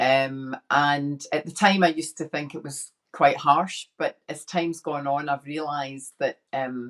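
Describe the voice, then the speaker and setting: With a Scottish accent, this woman talks at a fairly slow pace in a very deep, low pitch, her intonation fairly even and her loudness swinging widely. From Scotland, inner city Glasgow. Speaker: women's empowerment coach. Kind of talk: casual chat.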